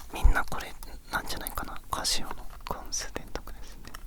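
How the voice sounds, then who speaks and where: Whispering at a fairly quick pace, a man is heard over noticeable background noise. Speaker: ASMR creator. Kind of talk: ASMR show-and-tell talk. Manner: whispered.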